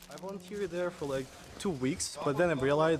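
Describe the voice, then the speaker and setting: A man is talking. His pitch shows ordinary variation over noticeable background noise. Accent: Russian. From Russia. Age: 20s. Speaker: Russian emigrant video blogger. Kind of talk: interview conversation.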